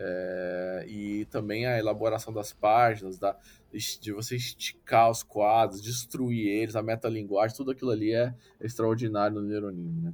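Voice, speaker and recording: In a normal speaking voice, a man with a fairly low pitch talks at a moderate speed, keeping his intonation fairly even. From Brasília, Brazil. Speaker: comics critic and podcaster. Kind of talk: casual interview.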